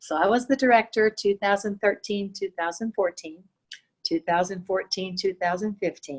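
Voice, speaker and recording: An ordinary speaking voice moves at a moderate pace with ordinary pitch variation, recorded dry and close with no echo. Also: woman, medium pitch for a woman. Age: 60s. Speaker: dancer and fitness instructor. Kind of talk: interview.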